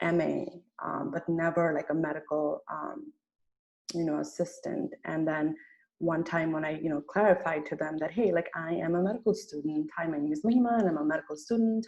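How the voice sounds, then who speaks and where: A woman with a slight Nepali accent, fairly low pitch, ordinary pitch variation and a fairly quick pace. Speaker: medical student. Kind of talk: personal testimony in group discussion. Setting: video call.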